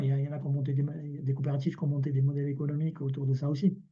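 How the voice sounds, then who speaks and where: A man at a very fast pace, somewhat breathy, fairly high in pitch with a dark, mellow tone. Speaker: cooperative volunteer presenting experience. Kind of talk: online meeting presentation. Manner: hesitant, many repetitions.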